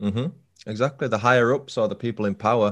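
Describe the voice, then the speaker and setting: Over a quiet background, a man with a northern English accent talks at a very fast pace with fairly even intonation. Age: 30s. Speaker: true crime podcaster. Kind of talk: casual chat.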